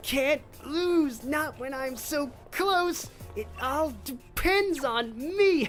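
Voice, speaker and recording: A high-pitched, put-on character voice talks at a very slow pace. Background noise is clearly audible. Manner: whiny, desperate.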